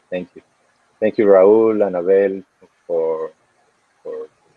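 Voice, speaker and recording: Here a man speaks with a Venezuelan accent. His pace is moderate. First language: Spanish. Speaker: cinematographer. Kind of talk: festival Q&A talk.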